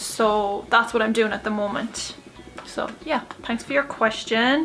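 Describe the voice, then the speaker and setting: With an Irish accent, a woman speaks in a fairly high voice with ordinary pitch variation over noticeable background noise. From Ireland. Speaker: YouTuber. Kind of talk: casual Q&A vlog. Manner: chatty, filler-heavy.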